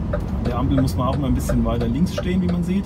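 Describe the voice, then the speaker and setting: A man talking at a fairly quick pace, music in the background. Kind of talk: casual vlog chat. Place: car. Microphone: phone near.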